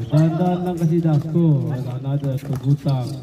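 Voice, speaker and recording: With light background noise, a man with an ordinary speaking voice talks at a fairly slow pace with fairly even intonation. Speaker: game commentator filming. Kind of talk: sports commentary. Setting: basketball gym, live game. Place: street.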